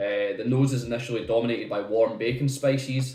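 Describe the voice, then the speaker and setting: With audible room echo behind him, a man speaks at a fairly quick pace. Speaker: whisky reviewer. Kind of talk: product review. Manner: halting.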